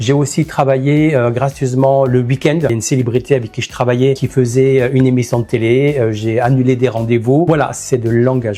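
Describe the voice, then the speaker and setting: A man speaks at a fairly quick pace with fairly even intonation and a medium pitch. His voice is somewhat breathy, with a dark, mellow tone. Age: 60s. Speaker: makeup artist. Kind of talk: interview monologue.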